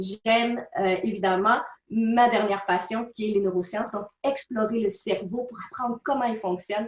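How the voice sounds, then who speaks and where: A woman's fairly high voice in a Quebec accent, fairly slow, with ordinary pitch variation. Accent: Québécois French. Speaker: personal development speaker and author. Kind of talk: interview.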